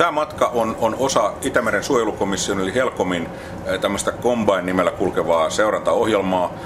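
Noticeable background noise fills the space while a man speaks at a moderate pace. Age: 60s. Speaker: marine research manager. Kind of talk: interview. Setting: research ship at sea.

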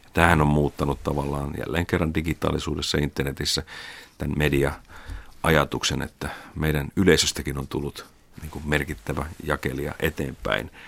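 Vocal fry marks this speech, delivered at a moderate pace with monotone, flat intonation. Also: man, very deep, low pitch for a man. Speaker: media executive. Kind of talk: interview.

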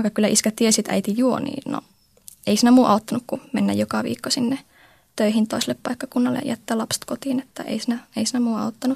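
Her voice sits fairly high for a woman, with vocal fry and a monotone, flat delivery at a very fast pace. The sound is dry and close, with no echo. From Oulu, Finland. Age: 20s. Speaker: comic blogger. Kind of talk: personal testimony.

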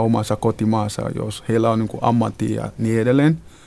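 With a non-native accent, a man of medium pitch speaks at a fairly slow pace in a monotone, flat intonation. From Ghana. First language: not Finnish (speaking Finnish). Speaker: nurse and reception centre counselor. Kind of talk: interview. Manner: halting.

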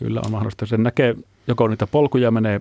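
This man's voice has a dark, mellow tone with vocal fry. He speaks at a fairly quick pace, and the sound is dry and close with no echo. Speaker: ant researcher. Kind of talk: radio interview. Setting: studio.

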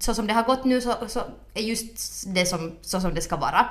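A woman's voice with audible room echo. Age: 20s. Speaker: podcast co-host. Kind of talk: casual chat.

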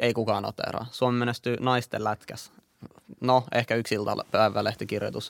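A man talks at medium pitch in a monotone, flat way. His pace is moderate, and the sound is dry and close with no echo. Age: 20s. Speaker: podcast host. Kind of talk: casual chat.

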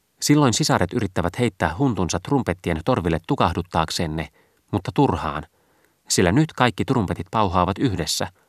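In a very clean recording with a silent background, a man with a very deep, low pitch speaks in a dramatic tone at a moderate pace, his pitch swinging very widely. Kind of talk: audiobook reading, literary narration. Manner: dramatic, urgent, building in intensity on the trumpet cries; formal, measured, archaic-literary delivery.

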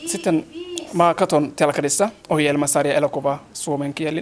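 A fairly slow voice in a Somali accent, with noticeable background noise. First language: Somali (speaking Finnish). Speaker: language student. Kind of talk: casual interview.

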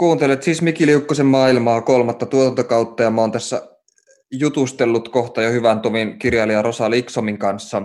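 A man's medium-pitched voice at a moderate pace with fairly even intonation. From Oulu, northern Finland. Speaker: podcast host, writer. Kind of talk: interview conversation. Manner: hesitant, many fillers.

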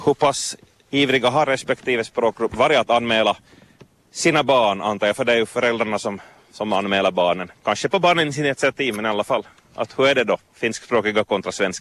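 A plain, everyday voice speaks at a fairly quick pace with ordinary pitch variation. Its loudness stays very even, and the sound is dry and close with no echo. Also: man, medium pitch for a man. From Vaasa, Finland. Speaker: radio reporter. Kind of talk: interview. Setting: outdoors at a swimming beach jetty.

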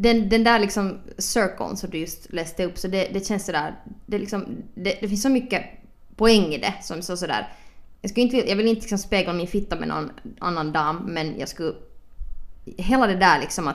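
The speaker is a woman with a medium-pitched voice. Its pitch shifts in an ordinary way. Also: moderate pace. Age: 20s. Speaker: podcast host. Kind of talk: casual chat. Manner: animated.

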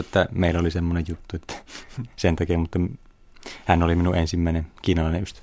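A man speaks at a very fast pace in a very deep, low pitch. The recording is very clean, with a silent background. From Finland, Kuopio (Savo). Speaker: physician and kung fu teacher. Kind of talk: interview.

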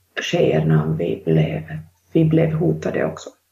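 A woman with a Finnish accent. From Finland. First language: Finnish (speaking Swedish). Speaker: author. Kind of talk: interview. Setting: video call. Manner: halting.

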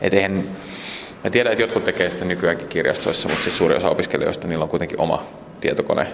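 A man talking at a very fast pace against noticeable background noise. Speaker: youth services director. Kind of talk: interview on location. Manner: halting, many fillers.

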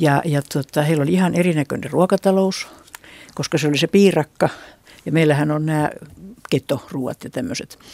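A woman speaks with a very deep, low pitch and a dark, mellow tone, at a moderate pace with ordinary pitch variation. Long, frequent pauses occur, and the sound is dry and close with no echo. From Finland, Satakunta. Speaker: retired regional researcher, ethnologist. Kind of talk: radio panel discussion. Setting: studio.

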